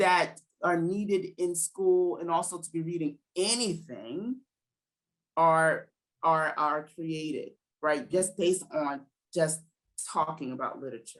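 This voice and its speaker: Speaking in a New Jersey accent with an animated tone, a woman has a fairly low pitch and ordinary pitch variation, moving at a fairly slow pace with long, frequent pauses and big swings in loudness. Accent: New Jersey American. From New Jersey, US. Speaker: educator and literacy program founder. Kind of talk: interview conversation.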